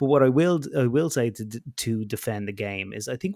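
The background is silent on this very clean recording. Talking very fast, the man lets his pitch vary in an ordinary way. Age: 30s. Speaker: podcast co-host. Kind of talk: casual chat. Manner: halting.

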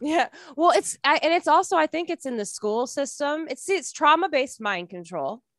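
The recording has a dry, close sound with no echo. A high-pitched woman with an American accent speaks with very wide pitch swings. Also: moderate pace. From Michigan. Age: 30s. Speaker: musician. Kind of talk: casual chat.

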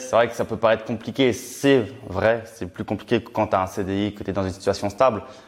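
Talking very fast with noticeable background noise behind him, a man keeps a fairly low pitch and a monotone, flat intonation. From Champagne, France (Reims). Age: 20s. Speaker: young property investor and author. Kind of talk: casual interview.

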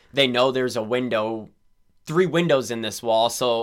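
A man's unremarkable speaking voice, medium in pitch with ordinary pitch variation, on a very clean recording with a silent background. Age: 30s. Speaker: amateur paintball player and construction worker. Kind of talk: casual chat.

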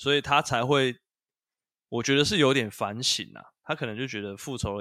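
A man with vocal fry and a bright, sharp tone speaks at a fairly quick pace with ordinary pitch variation in a very clean recording with a silent background. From northern Taiwan, Taipei. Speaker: podcast co-host. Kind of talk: casual chat about video games.

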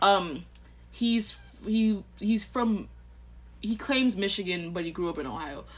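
A woman talks at a fairly slow pace with a somewhat breathy voice and an American accent. Her intonation is lively, broken by long, frequent pauses. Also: medium pitch for a woman. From Texas. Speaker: podcast co-host, college student. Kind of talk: casual chat.

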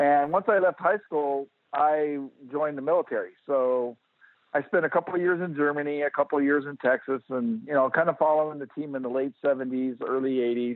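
With an American accent, a man speaks at a fairly quick pace in a plain, everyday voice, his pitch fairly high with ordinary variation. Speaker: retired firefighter and fan. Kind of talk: casual interview.

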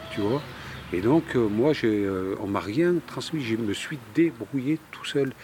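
A man's medium-pitched voice with lively intonation at a very slow pace, over noticeable background noise. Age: 50s. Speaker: plant dye specialist and trainer. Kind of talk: interview. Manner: halting, with repetitions.

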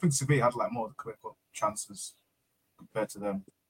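A man with a somewhat breathy, medium-pitched voice speaks at a very fast pace. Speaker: co-host or chat participant. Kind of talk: casual banter. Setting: live stream.

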